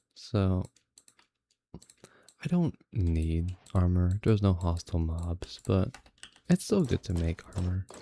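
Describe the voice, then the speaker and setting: Calm in tone, a man speaks very slowly in a very deep, low pitch, his voice somewhat breathy, dark and mellow, with long, frequent pauses and a dry, close sound with no echo. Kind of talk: relaxing gameplay commentary. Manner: calm, unhurried.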